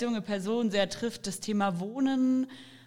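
The intonation stays fairly even. Music plays in the background. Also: woman. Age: 20s. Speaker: political candidate. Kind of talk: interview.

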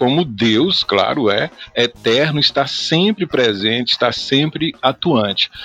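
Bright and sharp in tone, a man's voice swings very widely in pitch, heard in a dry, close sound with no echo. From Goiás, Brazil. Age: 40s. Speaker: pastor. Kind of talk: podcast interview.

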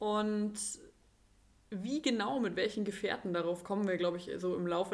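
This is a normal speaking voice at a moderate pace. The intonation stays fairly even. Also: woman. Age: 30s. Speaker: sled dog sports enthusiast. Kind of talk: casual chat. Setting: physio practice, remote podcast.

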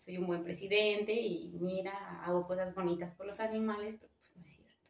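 At a moderate pace, a woman of medium pitch speaks in a monotone, flat intonation. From Michoacán, Mexico. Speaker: graduate student. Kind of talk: casual chat.

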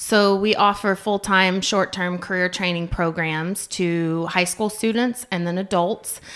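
An unremarkable speaking voice with an American accent moves at a fairly slow pace with fairly even intonation and hardly any pauses. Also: woman, medium pitch for a woman. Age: 40s. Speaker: career training school staff. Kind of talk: casual interview.

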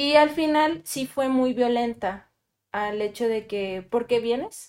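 A normal speaking voice moves at a fairly slow pace with ordinary pitch variation, on a very clean recording with a silent background. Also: woman. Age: 20s. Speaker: psychologist. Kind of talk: panel discussion.

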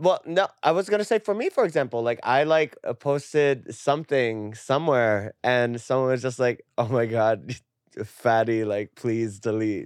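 Over a quiet background, a man speaks at medium pitch and a moderate pace. He has a normal speaking voice with lively intonation. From Puerto Rican heritage, lived in New Jersey. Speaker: adult content creator. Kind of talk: casual chat. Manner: filler-heavy speech.

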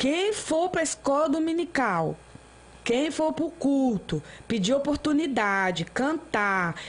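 A woman speaks very slowly in a high voice, her pitch swinging very widely while her loudness stays very even. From Brasília, Brazil. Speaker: missionary preacher. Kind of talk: testimony. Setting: studio.

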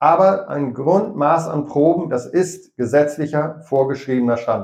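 A man has a normal speaking voice, pitched fairly high. He speaks at a fairly slow pace with lively intonation. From East Frisia, Rheiderland. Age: 50s. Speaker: dairy farmer and YouTuber. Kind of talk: interview.

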